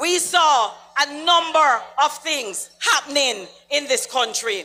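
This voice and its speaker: The speaker has an animated tone and a Jamaican accent. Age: 60s. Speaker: political speaker. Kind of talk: political rally speech.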